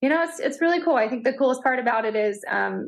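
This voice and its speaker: Against a quiet background, a woman speaks. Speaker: content creator and mom. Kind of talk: casual interview chat. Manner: fast; animated.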